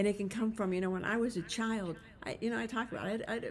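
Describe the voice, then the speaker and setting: A woman talks at a very fast pace in a fairly high, somewhat breathy voice. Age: 60s. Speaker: podcast host, leadership coach. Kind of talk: solo podcast monologue. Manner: casual, conversational with fillers.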